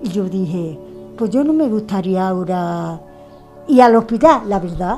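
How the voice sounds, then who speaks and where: Over faint music in the background, a woman's voice moves in very wide pitch swings. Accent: Andalusian. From Andalusia, Puente Genil (Córdoba); Andalusia. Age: 70s. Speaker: Covid-19 survivor. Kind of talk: interview. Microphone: handheld.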